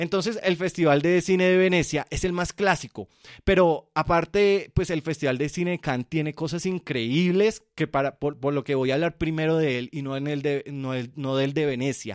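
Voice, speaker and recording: A man with a Colombian accent and a fairly high pitch speaks in an animated tone at a moderate pace with hardly any pauses. His pitch varies in an ordinary way, and the very clean recording has a silent background and a dry, close sound with no echo. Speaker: film podcast host. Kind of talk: solo podcast monologue.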